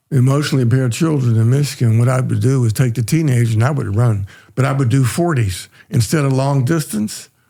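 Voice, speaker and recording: A man talks very fast in a somewhat breathy voice with a dark, mellow tone. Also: medium pitch for a man, ordinary pitch variation, very even loudness. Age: 80s+. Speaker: retired powerlifter and trainer. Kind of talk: casual chat.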